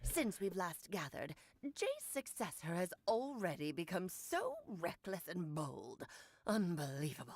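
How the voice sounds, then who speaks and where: A woman speaks in a put-on character voice. Her pitch sits in the middle range, and her pace is moderate. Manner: imitating her master's way of speaking.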